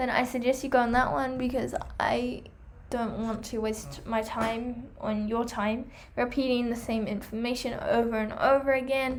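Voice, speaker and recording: At a moderate pace, the speaker talks in a monotone, flat intonation, with audible room echo. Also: woman, high pitch for a woman. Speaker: hamster care vlogger. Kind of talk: product review vlog.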